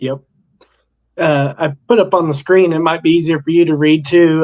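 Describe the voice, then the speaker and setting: With an unremarkable speaking voice, a man talks at a moderate pace, fairly high in pitch, with fairly even intonation. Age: 50s. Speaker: outdoors channel host. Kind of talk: live stream interview. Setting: live stream.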